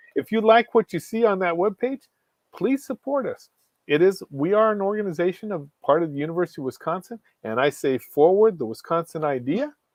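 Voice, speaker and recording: The man's pitch is high and swings very widely. He keeps a fairly quick pace. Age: 60s. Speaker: professor. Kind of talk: interview. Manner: energetic.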